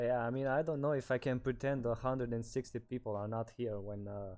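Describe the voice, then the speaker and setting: Speaking with a Romanian accent, a man has a dark, mellow tone at medium pitch, with fairly even intonation and a moderate pace. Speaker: streamer. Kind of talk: casual chat. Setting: livestream from shared room. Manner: halting.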